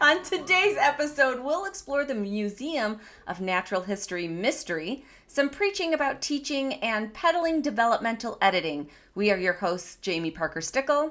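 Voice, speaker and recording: A woman with a slight Michigan accent and a high pitch talks at a moderate pace, her voice moving in very wide pitch swings. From Michigan, US Midwest. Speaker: podcast host. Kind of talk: casual chat; scripted show intro. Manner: animated.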